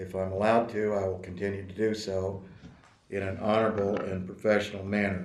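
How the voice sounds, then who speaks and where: In audible room echo, a man with a fairly low pitch talks at a fairly quick pace in a monotone, flat intonation. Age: 60s. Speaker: attorney in disciplinary case. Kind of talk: court hearing statement. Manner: formal.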